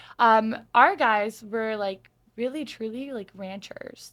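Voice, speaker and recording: Speaking in an animated tone with an American accent, the voice shows ordinary pitch variation. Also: woman, big swings in loudness. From Arizona. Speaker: reality TV contestant. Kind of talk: casual interview chat. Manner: animated, talkative.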